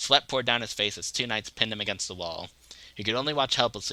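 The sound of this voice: Lively intonation in an unforced reading voice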